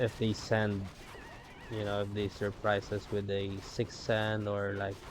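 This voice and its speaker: Noticeable background noise is present. The delivery stays monotone and flat. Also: man. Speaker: gaming commentator. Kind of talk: game commentary. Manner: casual, hesitant.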